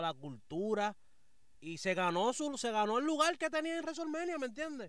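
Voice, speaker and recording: A man with a Puerto Rican accent talks at a moderate pace with very wide pitch swings. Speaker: wrestling podcast panelist. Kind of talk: casual chat. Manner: animated.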